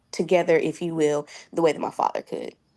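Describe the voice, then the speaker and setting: A woman speaks in an American accent at a fairly low pitch, her tone dark and mellow. Her intonation is monotone and flat, against a quiet background. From California, Oakland. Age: 20s. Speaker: sickle cell patient sharing her story. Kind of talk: interview. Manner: hesitant, with fillers.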